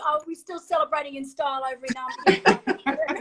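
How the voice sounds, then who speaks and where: A woman speaks with an Australian accent. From Australia (Sydney). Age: 50s. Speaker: former professional triathlete. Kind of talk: casual chat.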